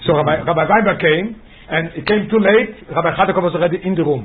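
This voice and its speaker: A man talks at a very fast pace and high pitch, with ordinary pitch variation. Audible room echo and noticeable background noise surround him. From Israel. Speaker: rabbi teaching Torah class. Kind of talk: lecture with storytelling. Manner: halting, repeats words.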